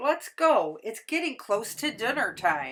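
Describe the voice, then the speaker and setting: A woman uses a put-on character voice with a high pitch. She talks fairly slowly, her pitch swinging very widely. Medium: read story. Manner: warm, courteous.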